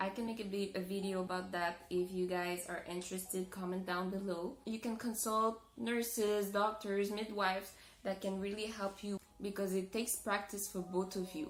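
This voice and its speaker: A woman's medium-pitched, monotone voice with flat intonation and a French-Canadian accent, at a moderate pace over noticeable background noise. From Montreal, Canada. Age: 20s. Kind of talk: casual talk to camera.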